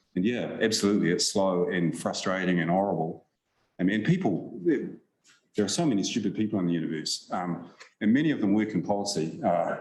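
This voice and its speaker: A man talks at a fairly quick pace with fairly low pitch. Audible room echo surrounds the recording. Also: ordinary pitch variation. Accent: New Zealand. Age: 60s. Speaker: science policy advisor. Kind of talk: conference Q&A answer. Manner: hesitant, repeats words.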